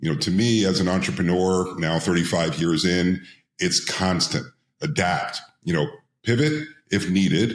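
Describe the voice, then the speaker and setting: A man talks at a moderate pace with a very deep, low pitch. His loudness stays very even. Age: 60s. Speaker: entrepreneur and IPO advisor. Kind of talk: interview podcast.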